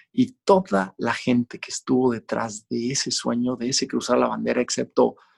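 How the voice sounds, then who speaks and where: A man speaks with a Mexican accent at a fairly slow pace. The sound is dry and close, with no echo. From Mexico. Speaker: Olympic cross-country skier and endurance athlete. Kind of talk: podcast interview.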